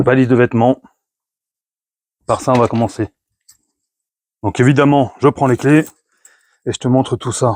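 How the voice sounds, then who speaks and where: A man at medium pitch speaks at a moderate pace with fairly even intonation and long, frequent pauses, in a dry, close sound with no echo. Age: 50s. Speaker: motorcycle travel vlogger. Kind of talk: gear presentation vlog. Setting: garage. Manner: hesitant, many fillers.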